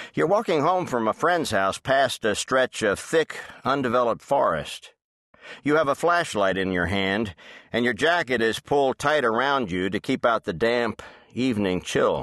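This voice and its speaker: Speaking at a moderate pace with a medium pitch, a man with a normal speaking voice uses lively intonation. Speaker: audiobook narrator. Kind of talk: dramatic audiobook narration for kids, reading aloud. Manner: suspenseful, hushed storyteller pacing that builds tension.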